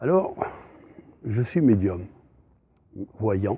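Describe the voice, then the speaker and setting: A man speaks at a very slow pace. His pitch sits in the medium range. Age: 60s. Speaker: psychic medium. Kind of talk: self-introduction monologue. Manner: hesitant, many fillers.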